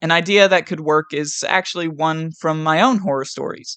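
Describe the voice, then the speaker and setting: A moderate pace with an American accent over a quiet background. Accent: West Virginian, comes out at times. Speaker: gaming YouTuber. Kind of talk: scripted commentary. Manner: reads from a script.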